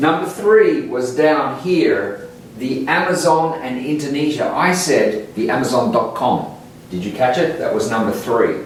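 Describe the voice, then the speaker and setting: Talking fairly slowly with lively intonation, a man with an Australian accent has a fairly high pitch. There's noticeable background noise and audible room echo. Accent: Australian English, non-rhotic. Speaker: English teacher. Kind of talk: tutorial. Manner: slow and clear.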